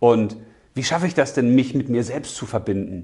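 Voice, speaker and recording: A man with a dark, mellow tone sounds somewhat breathy. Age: 40s. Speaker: spiritual coach / video host. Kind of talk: motivational monologue.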